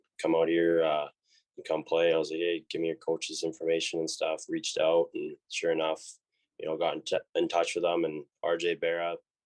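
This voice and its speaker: Talking at a fairly quick pace, a man with a Canadian accent comes through dry and close with no echo. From western Canada. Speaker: college hockey player. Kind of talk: interview. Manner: casual, many fillers.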